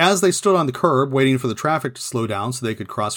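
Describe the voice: The passage is read aloud plainly. Its intonation stays lively.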